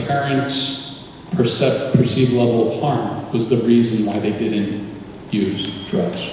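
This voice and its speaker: Strong room echo and light background noise surround a man speaking at a very slow pace. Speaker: presenter. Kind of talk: lecture. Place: hall.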